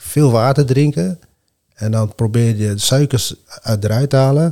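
A man talks at a moderate pace in a dark, mellow tone, with ordinary pitch variation. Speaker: martial arts fighter and coach. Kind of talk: casual chat. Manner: calm.

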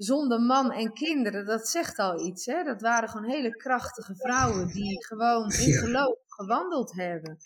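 This woman speaks at a moderate pace in an unremarkable speaking voice, fairly high in pitch, with lively intonation and hardly any pauses. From Netherlands, Overijssel. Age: 40s. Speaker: guest telling life story. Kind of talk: testimony. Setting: remote call. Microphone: echo.

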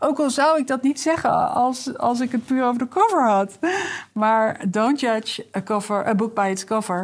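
A woman speaks in a high voice with lively intonation. Her pace is moderate and her loudness very even. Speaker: business coach. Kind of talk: solo podcast monologue. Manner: casual, with frequent fillers.

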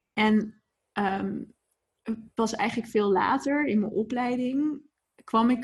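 A somewhat breathy woman talks with fairly even intonation. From Netherlands (Etten-Leur, Noord-Brabant, and Leiden). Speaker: ice bath instructor and entrepreneur. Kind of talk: interview. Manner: halting, many fillers and repetitions.

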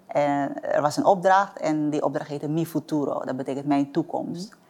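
A woman's very deep, low voice carries her words at a moderate pace. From Suriname (Paramaribo), moved to Amsterdam at nine. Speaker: entrepreneur. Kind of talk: interview.

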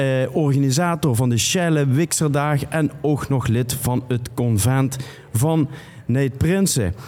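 At a very slow pace, a man talks with medium pitch, very even loudness and ordinary pitch variation over noticeable background noise. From Limburg, Netherlands (Sittard). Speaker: podcast host. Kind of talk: casual chat; prank phone call. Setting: studio.

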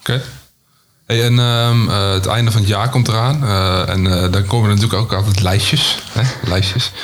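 A man at a fairly low pitch and moderate pace, with fairly even intonation, very even loudness and audible room echo. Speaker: podcast co-host. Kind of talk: scripted introduction.

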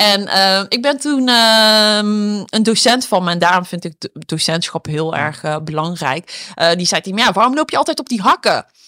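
The voice has a bright, sharp tone, very wide pitch swings and a moderate pace. The recording is very clean, dry and close, with no echo and a silent background. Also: woman, medium pitch for a woman. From Eindhoven, Netherlands. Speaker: entrepreneur and shoe designer. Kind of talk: interview conversation.

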